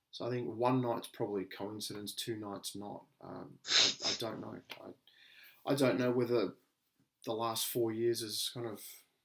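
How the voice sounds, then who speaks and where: A man speaks at a fairly slow pace with a medium pitch, a fairly even intonation, and big swings in loudness. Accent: Australian. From Australia. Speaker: podcast co-host. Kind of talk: casual chat.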